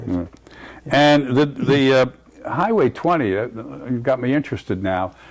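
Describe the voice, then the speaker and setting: Against noticeable background noise, a man with a medium pitch speaks at a fairly slow pace with lively intonation. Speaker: historical landmarks commission chair and interviewer. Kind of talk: oral history interview questions.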